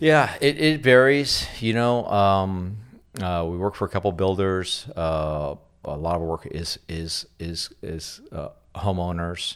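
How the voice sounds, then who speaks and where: In a very clean recording with a silent background, a man with an American accent speaks at a very slow pace, his very deep, low pitch carried by lively intonation. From Bakersfield, California. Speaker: landscape contractor. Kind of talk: interview. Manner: hesitant, many fillers.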